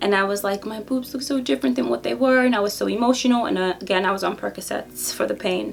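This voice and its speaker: Her pitch is medium and her pace fairly quick as this woman's voice makes very wide pitch swings. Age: 30s. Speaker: beauty vlogger. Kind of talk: casual vlog monologue. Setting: home office. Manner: fast.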